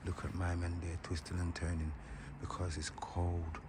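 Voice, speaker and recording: A man's very deep, low voice, monotone and flat at a moderate pace, with audible room echo and noticeable background noise. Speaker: vlogger. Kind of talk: vlog commentary. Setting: outdoors. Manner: repetitive.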